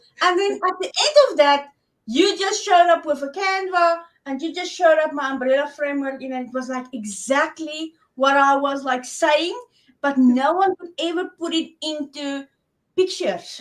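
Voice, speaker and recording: A woman's high-pitched voice with a South African accent, moderate pace, ordinary pitch variation and big swings in loudness. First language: Afrikaans. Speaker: online business coach for women. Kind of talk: interview.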